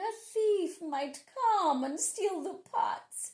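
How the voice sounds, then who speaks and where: A put-on character voice delivers its lines at a very slow pace. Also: woman. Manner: sweet, feigned kindness.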